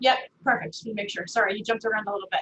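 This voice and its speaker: In a raised, projected voice, a woman with an American accent speaks with a bright, sharp tone. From New Jersey, North Jersey. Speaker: business speaker, networking presenter. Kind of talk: webinar presentation. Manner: fast; casual, animated.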